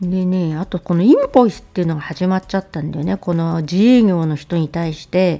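Fairly low in pitch with a dark, mellow tone, a woman speaks with ordinary pitch variation and big swings in loudness. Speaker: political commentary YouTuber. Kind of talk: casual news commentary monologue. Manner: chatty, conversational with many fillers.

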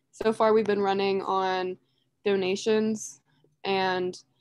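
A woman's voice comes through with a dry sound, no echo and a quiet background. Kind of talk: casual webinar presentation. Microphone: video call.

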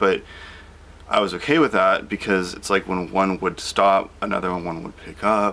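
A man with a very deep, low pitch, at a moderate pace. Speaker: vlogger. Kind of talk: casual vlog chat. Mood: reflective, calm with small laughs. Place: home room. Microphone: phone near.

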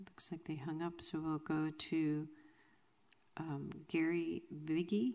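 Very slow and fairly even in intonation, a woman speaks with a very deep, low pitch and a dark, mellow tone. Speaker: city clerk; council clerk. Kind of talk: formal meeting proceedings. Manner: formal. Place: hall. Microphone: podium.

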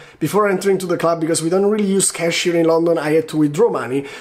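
Against a quiet background, a high-pitched man speaks at a very fast pace with ordinary pitch variation. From Italy. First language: Italian. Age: 20s. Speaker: video blogger. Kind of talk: vlog monologue to camera. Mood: playful, animated storytelling. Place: home room. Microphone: phone near.

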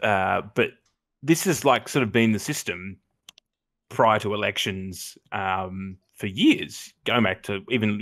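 A man with an Australian accent speaks at a fairly slow pace in a fairly low voice with ordinary pitch variation. His loudness swings widely, against a quiet background. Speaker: comedy podcast co-host. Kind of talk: casual chat. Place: home room. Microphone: headset.

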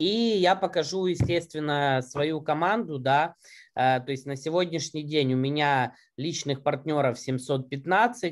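A man with a fairly high pitch at a very slow pace, ordinary pitch variation and a quiet background. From Ukraine. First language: Russian (speaking Spanish). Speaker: marketing director and network marketer. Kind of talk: business presentation. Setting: video call. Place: home room. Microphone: webcam.

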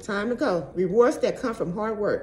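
The speech moves at a moderate pace. There is light background noise. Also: woman. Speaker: tarot reader. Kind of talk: tarot reading vlog. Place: home room. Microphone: phone near.

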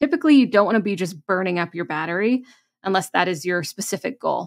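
Lively intonation from a woman against a quiet background. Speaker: podcast host. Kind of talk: tips talk to camera. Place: home room. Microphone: studio mic.

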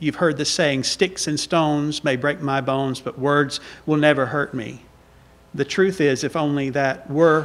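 With a Southern US accent, a man talks at a fairly slow pace and a fairly high pitch, keeping his intonation fairly even. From US South. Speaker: visiting preacher. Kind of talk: sermon. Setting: church. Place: church. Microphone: podium.

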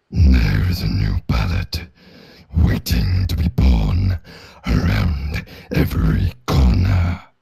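In a put-on character voice, the speaker delivers lines very slowly with a menacing, dramatic tone. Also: man, very deep, low pitch for a man. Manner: gruff, menacing, dramatic.

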